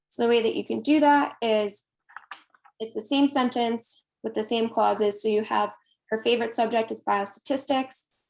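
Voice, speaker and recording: Pitch moves with ordinary variation in a normal speaking voice. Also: woman. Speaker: workshop presenter. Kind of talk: online workshop lecture.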